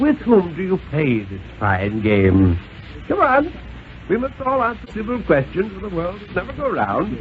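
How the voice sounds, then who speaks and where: A man talks at a fairly slow pace, with big swings in loudness. Noticeable background noise runs underneath. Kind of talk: dramatic story reading, radio thriller narration.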